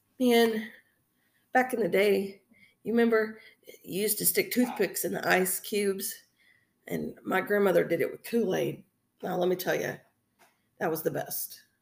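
A woman with an American accent at a moderate pace, with long, frequent pauses. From Texas. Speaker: podcast host. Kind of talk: casual solo chat. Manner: rambling, filler-heavy, conversational.

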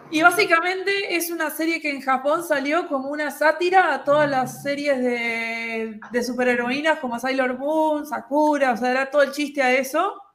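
With noticeable noise behind it, the speech moves at a moderate pace with ordinary pitch variation. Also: woman, high pitch for a woman, hardly any pauses. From Uruguay. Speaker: podcast co-host. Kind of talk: casual chat.

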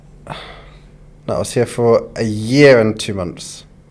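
A man with a London accent at a moderate pace. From London, England. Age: 20s. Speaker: food content creator. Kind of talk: casual chat. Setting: studio.

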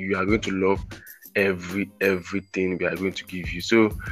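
Music plays in the background as a man with a very deep, low pitch speaks fairly slowly in a monotone, flat intonation. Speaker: podcast host. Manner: casual, rambling.

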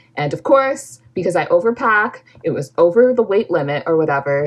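At a moderate pace, a woman with a Canadian accent speaks with very wide pitch swings. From Calgary, western Canada. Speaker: podcast co-host. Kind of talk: casual chat. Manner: animated.

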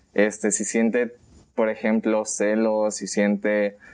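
This is an unremarkable speaking voice at a fairly slow pace. The background is quiet. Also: man. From Mexico, Colima. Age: 20s. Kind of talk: casual chat.

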